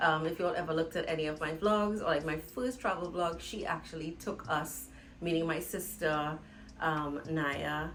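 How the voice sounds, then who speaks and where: Audible room echo surrounds a woman's very deep, low voice. She speaks at a moderate pace with ordinary pitch variation. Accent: Trinidadian. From Trinidad. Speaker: vlogger. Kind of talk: casual vlog monologue. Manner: loud; animated.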